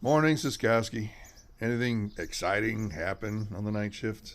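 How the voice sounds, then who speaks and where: A man puts on a raspy character voice. He keeps a medium pitch and a moderate pace. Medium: audio drama. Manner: curt, commanding.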